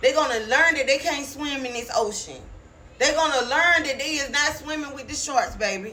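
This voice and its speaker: A woman uses a raised, projected voice with ordinary pitch variation. Noticeable background noise and audible room echo surround her. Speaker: online preacher. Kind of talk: prophetic sermon. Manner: animated.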